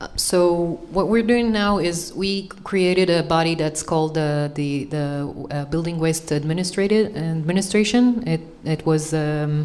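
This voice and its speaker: A woman's fairly low voice in an Israeli accent, fairly slow with hardly any pauses and ordinary pitch variation, amid audible room echo and noticeable background noise. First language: Hebrew. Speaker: panelist on green building. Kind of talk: panel discussion. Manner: halting, many fillers.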